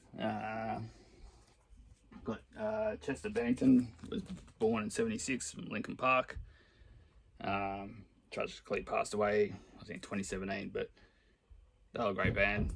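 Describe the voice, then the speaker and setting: A man in an Australian accent, at a fairly slow pace with long, frequent pauses. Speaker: record collector. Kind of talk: casual talk to camera.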